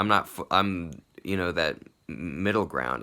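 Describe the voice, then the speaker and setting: Moderately paced speech carries vocal fry and ordinary pitch variation. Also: man. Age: 30s. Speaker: vlogger. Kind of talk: personal video diary monologue. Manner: halting, many fillers like 'like' and 'you know'.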